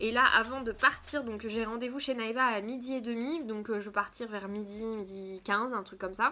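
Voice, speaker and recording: Hardly pausing, a woman speaks at a moderate pace in a fairly high, bright, sharp voice with fairly even intonation. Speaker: craft vlogger. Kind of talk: casual vlog. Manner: hesitant, many fillers.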